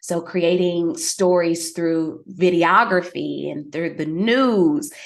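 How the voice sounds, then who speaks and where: A woman with a Southern US accent talks in a fairly low pitch. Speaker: fitness expert and public speaker. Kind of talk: interview.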